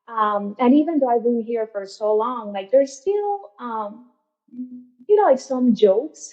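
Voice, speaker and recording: A woman talks at a fairly slow pace with a Spanish accent. Her voice is high-pitched. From Venezuela, San Francisco near Colombian border. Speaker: mental health counselor. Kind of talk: podcast interview. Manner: conversational, many fillers and repetitions.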